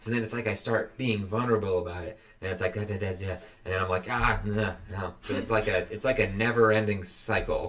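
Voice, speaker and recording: Speaking at a fairly quick pace with monotone, flat intonation, a man is heard over noticeable background noise. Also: fairly low pitch for a man. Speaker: podcast co-host. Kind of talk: casual chat. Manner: halting.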